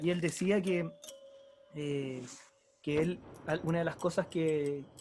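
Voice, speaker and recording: A man's fairly high voice with fairly even intonation and long, frequent pauses, over music in the background. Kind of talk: book discussion conversation.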